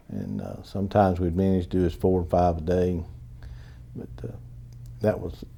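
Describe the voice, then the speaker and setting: With a Southern US accent, a man speaks in a very deep, low pitch and a dark, mellow tone. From North Carolina. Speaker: Vietnam War veteran. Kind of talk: oral history interview answer.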